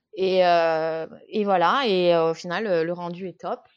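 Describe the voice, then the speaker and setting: The woman speaks at a medium pitch. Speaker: watercolour illustrator. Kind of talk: podcast interview. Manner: hesitant, many fillers; animated.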